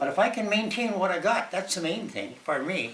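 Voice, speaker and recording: A man's raised, projected voice with lively intonation at a fairly quick pace. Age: 80s+. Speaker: retired senior demonstrating home exercises. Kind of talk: casual talk to camera. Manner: hesitant, halting.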